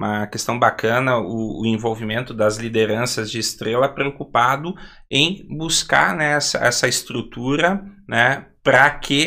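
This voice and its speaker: A man talks in a southern Brazilian accent at a fairly slow pace. His medium pitch shows ordinary pitch variation. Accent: gaúcho Brazilian Portuguese. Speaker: podcast host. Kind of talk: podcast interview.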